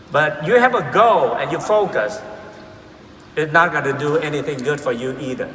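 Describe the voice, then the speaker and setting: A man with a fairly high pitch speaks with lively intonation. Audible room echo and noticeable background noise surround him. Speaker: motivational speaker. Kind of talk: keynote speech. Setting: stage with audience. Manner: slow; halting.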